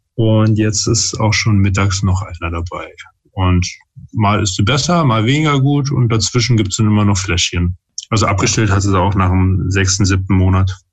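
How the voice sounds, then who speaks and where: Somewhat breathy, a man with a fairly low pitch and ordinary pitch variation speaks at a moderate pace. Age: 30s. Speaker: father and parenting YouTuber. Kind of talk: casual chat. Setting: video call.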